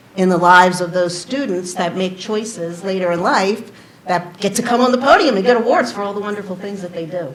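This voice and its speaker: A woman speaks at a moderate pace with a medium pitch and ordinary pitch variation. The recording has audible room echo and noticeable background noise. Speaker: board chair. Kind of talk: closing remarks. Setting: stage with audience, PA system. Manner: loud; enthusiastic.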